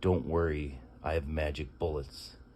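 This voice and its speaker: A raspy, put-on character voice goes at a moderate pace. Clear background noise can be heard. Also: man, very deep, low pitch for a man. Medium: read story. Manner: crude, hollering showman.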